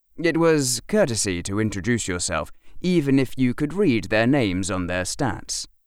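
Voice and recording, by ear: This is reading aloud in a natural voice. Nothing else is noted.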